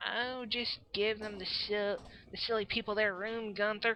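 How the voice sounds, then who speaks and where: A woman puts on a character voice in a Southern US accent, fairly high in pitch. She keeps a moderate pace with monotone, flat intonation. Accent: put-on southern american. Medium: actual play. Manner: sassy, folksy.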